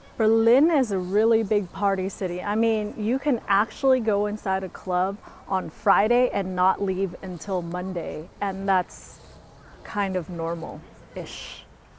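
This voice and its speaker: With an American accent, this is a normal speaking voice showing ordinary pitch variation. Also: woman, medium pitch for a woman. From US West Coast, San Francisco. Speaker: travel vlogger. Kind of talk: vlog talking to camera. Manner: casual, upbeat.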